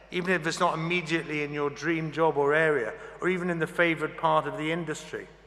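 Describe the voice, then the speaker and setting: A man's fairly high-pitched, monotone, flat voice at a very fast pace, with noticeable background noise. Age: 60s. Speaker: graduation speaker. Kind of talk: commencement speech. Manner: formal.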